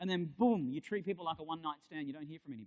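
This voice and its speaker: A man with an Australian accent speaks in an animated tone with lively intonation. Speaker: keynote speaker, digital industry futurist. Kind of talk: keynote talk.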